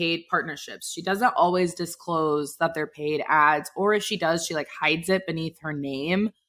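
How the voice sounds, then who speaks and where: A woman speaks loudly in an animated, bright and sharp tone. The recording is very clean with a silent background. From Texas (Dallas). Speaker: podcast host. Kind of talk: casual chat.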